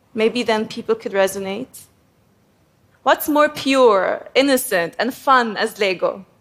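Speaking with an Arabic accent, a woman with a fairly high pitch talks at a fairly slow pace with ordinary pitch variation. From Egypt (Cairo). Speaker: graphic designer. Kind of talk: prepared talk to an audience.

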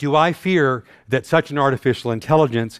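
A man with an American accent speaks at a moderate pace in an ordinary speaking voice. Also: very clean recording, silent background. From North Texas. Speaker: systems engineer and scientist. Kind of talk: conference talk. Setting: stage with audience.

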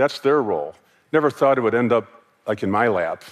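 A man with an American accent talks at a fairly quick pace in an unremarkable speaking voice, his intonation lively. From United States. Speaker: former corporate sustainability executive. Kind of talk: conference talk.

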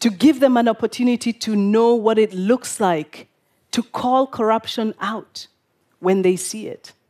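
A woman's fairly high-pitched voice with a dark, mellow tone at a fairly slow pace, in a dry, close sound with no echo. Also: ordinary pitch variation. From Kenya, Nairobi. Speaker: public speaker, activist. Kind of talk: prepared talk to an audience. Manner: formal, rhetorical.

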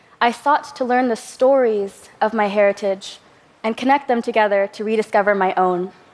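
A woman's fairly high, fairly quick voice in an American accent, a normal speaking voice with ordinary pitch variation. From Southern California. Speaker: filmmaker and composer. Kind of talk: talk to an audience.

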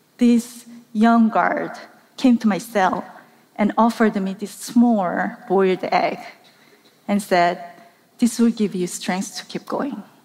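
A woman with a Korean accent speaks very slowly in a fairly high voice, with ordinary pitch variation and long, frequent pauses. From South Korea. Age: middle-aged. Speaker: documentary journalist. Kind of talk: talk to a live audience. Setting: stage with audience.

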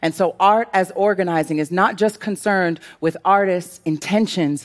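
Over a very clean recording with a silent background, a woman with an American accent speaks at a moderate pace in an unremarkable speaking voice, fairly low in pitch with fairly even intonation. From US Northeast, Brooklyn, New York. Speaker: poet and organizer. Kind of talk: scripted talk on stage.

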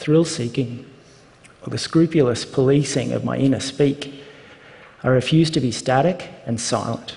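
With an Australian accent, a man speaks at a moderate pace and fairly high pitch with fairly even intonation, amid noticeable background noise. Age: 30s. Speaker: speaker sharing personal story. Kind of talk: prepared talk.

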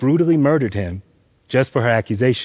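In a dry, close recording with no echo, a man with a normal speaking voice and an American accent talks at a fairly quick pace, with a medium pitch and lively intonation. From US South, Atlanta, Georgia. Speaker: graphic novelist. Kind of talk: talk to a live audience.

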